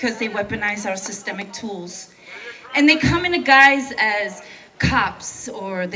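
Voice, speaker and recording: A woman with an American accent speaks at a fairly slow pace and with lively intonation, with audible room echo and noticeable background noise. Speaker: protest speaker, veteran. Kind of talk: protest speech. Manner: impassioned.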